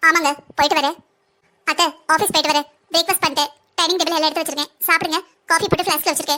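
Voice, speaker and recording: In a cartoonish character voice, a woman speaks extremely high and very fast, her intonation flat and monotone. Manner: firm, outspoken.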